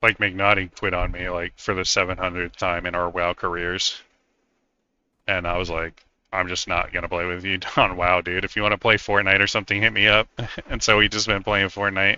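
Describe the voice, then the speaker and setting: Over a quiet background, a man talks fairly quickly in a very deep, low monotone with flat intonation. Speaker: gaming streamer. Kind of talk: casual gameplay commentary.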